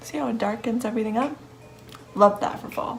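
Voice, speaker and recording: There is music behind the speaker. She is a woman whose pitch is fairly high. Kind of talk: makeup tutorial voiceover. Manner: whispered, soft-spoken.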